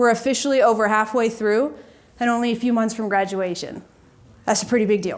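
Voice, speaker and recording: A woman with an American accent has a plain, everyday voice pitched fairly high. She talks at a fairly quick pace with fairly even intonation. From Georgia, US. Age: 20s. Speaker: student and Air Force veteran. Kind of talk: formal speech. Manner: formal.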